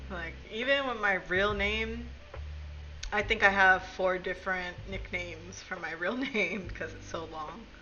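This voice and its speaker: Speaking at a fairly slow pace with an American accent, a woman's voice swings widely in loudness amid audible room echo and noticeable background noise. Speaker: streamer. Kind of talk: casual chat.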